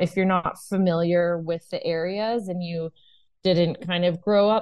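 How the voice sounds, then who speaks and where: At a fairly slow pace, a woman talks with fairly even intonation and a fairly low pitch. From US West Coast, Northern California (Bay Area). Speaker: travel business owner. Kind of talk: casual interview.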